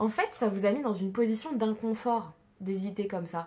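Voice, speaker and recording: Speaking in a central French accent, a woman keeps her intonation fairly even. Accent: central French accent, noticeable today. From central France. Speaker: tarot card reader. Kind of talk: tarot reading. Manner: casual with many hesitations; drops mute e sounds.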